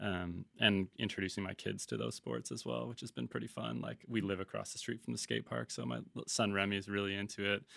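A man with a Canadian accent speaks at a fairly quick pace with hardly any pauses, his pitch fairly low with very wide swings. His tone is bright and sharp, with vocal fry. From Vancouver, Canada. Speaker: brand cofounder and marketer. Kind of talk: casual interview conversation. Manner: casual, filler-heavy.

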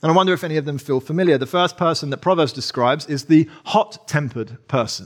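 A man talks at a very fast pace. His fairly high voice has ordinary pitch variation. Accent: English. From England. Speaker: preacher. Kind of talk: sermon. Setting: church.

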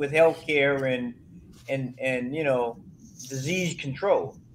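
The speaker talks at a fairly slow pace in an American accent, with ordinary pitch variation. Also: man. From Florida. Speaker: minister co-hosting a talk show. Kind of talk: casual chat.

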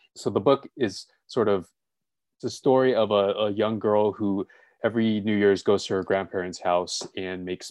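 The man talks at a moderate pace with a fairly low pitch and fairly even intonation. The sound is dry and close with no echo, over a quiet background. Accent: Californian. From Los Angeles, US. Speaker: nonprofit operations specialist and author. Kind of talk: interview and software tutorial.

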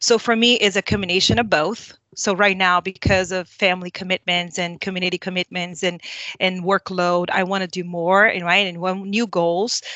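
A woman's medium-pitched voice at a moderate pace, with monotone, flat intonation. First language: not English. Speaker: leadership consultant. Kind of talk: panel discussion.

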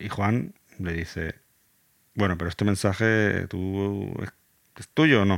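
A man's fairly low pitch with ordinary pitch variation and big swings in loudness, at a very slow pace with long, frequent pauses, in a dry, close sound with no echo. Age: 40s. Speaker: podcast host. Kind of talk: educational explainer. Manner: halting, with repetitions.

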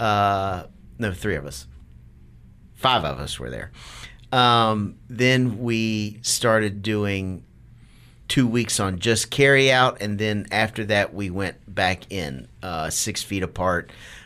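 Very slowly, a man speaks with a fairly low pitch, ordinary pitch variation and a bright, sharp tone on a very clean recording with a silent background. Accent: American. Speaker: restaurant general manager. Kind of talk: interview.

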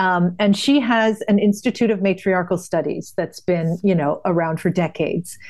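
With an American accent and a plain, everyday voice, a woman speaks at a moderate pace with hardly any pauses and very even loudness. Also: medium pitch for a woman, ordinary pitch variation. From US Northeast, New England. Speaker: podcast host. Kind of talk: casual chat.

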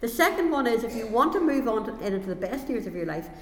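A woman at a very fast pace, very wide pitch swings, noticeable background noise. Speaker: preacher. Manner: fervent, exhorting.

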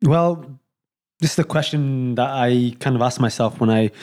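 In a Yorkshire accent, the speaker has a dark, mellow tone on a very clean recording with a silent background. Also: man. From Leeds, Yorkshire. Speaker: round-the-world cyclist. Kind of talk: casual interview. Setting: sitting on the floor at his home.

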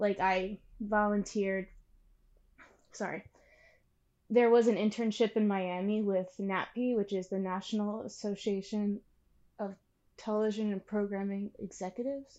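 A woman with an American accent speaks in a dark, mellow tone with monotone, flat intonation. She leaves long, frequent pauses against a quiet background. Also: medium pitch for a woman, moderate pace. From Pennsylvania. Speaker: videographer and producer. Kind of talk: interview.

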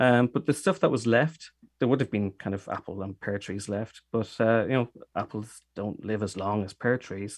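Against a quiet background, a man with an Irish accent talks at a moderate pace with a fairly low pitch and ordinary pitch variation. The sound is dry and close, with no echo. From Dublin, Ireland. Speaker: cider maker. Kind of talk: interview.

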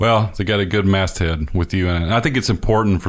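A man talks with a Mississippi accent. His pace is fairly quick. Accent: US Southern (Mississippi). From northern Mississippi. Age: 40s. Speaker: podcast host and musician. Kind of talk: casual interview conversation.

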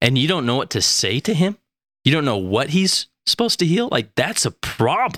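A man's fairly high voice with an American accent and vocal fry, very wide pitch swings, very even loudness and a moderate pace, dry and close with no echo on a very clean recording with a silent background. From Utah. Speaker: podcast host and nonprofit leader. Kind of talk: casual interview.

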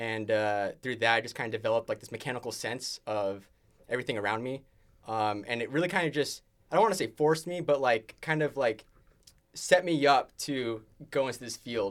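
Speaking at a fairly quick pace, a man with an American accent and a plain, everyday voice holds a medium pitch, using ordinary pitch variation and big swings in loudness. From California, Bay Area (San Jose). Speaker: engineering student team lead. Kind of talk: casual interview chat.

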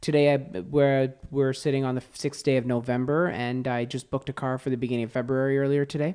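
In a quiet background, a man with a normal speaking voice and fairly high pitch talks at a fairly quick pace with fairly even intonation. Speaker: automotive editor and podcaster. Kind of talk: casual interview. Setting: in person studio.

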